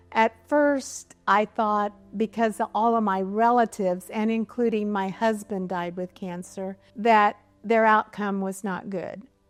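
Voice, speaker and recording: Against a quiet background, a woman with a Midwestern US accent speaks fairly slowly at a medium pitch with fairly even intonation, and the sound is dry and close with no echo. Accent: US Midwest. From Kansas (rural northeast). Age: 70s. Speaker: cancer survivor. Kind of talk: testimony.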